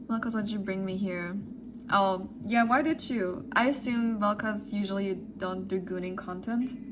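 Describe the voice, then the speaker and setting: Over noticeable background noise and audible room echo, a woman with a medium-pitched voice talks at a moderate pace with ordinary pitch variation. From Germany. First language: German. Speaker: streamer. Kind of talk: casual chat. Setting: live stream.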